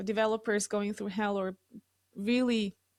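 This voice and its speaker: A woman with an Ecuadorian accent and a fairly high pitch speaks in a flat monotone at a moderate pace, on a very clean recording with a silent background. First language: Spanish. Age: 40s. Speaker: real estate developer. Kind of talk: interview testimony.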